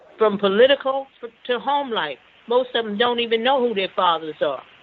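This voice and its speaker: Ordinary pitch variation and a moderate pace come through noticeable background noise. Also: woman. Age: 80s+. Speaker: caller. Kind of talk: call-in opinion.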